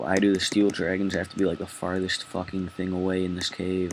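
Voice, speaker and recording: Monotone and flat, a man speaks at a fairly quick pace in a very deep, low voice. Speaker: gaming video creator. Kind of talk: gameplay commentary. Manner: fast.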